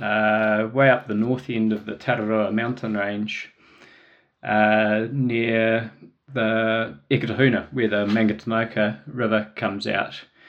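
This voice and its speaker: This man talks at a fairly slow pace with a medium pitch. He has a New Zealand accent. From New Zealand, Wellington. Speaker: trail runner and adventurer. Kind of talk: casual interview. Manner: hesitant, many fillers.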